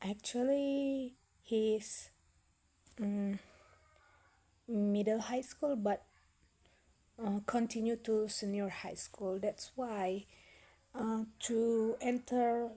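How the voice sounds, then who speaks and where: This woman talks at a very slow pace with a fairly high pitch. Her intonation stays fairly even, and long pauses come often. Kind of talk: casual talk to camera. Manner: hesitant, slow.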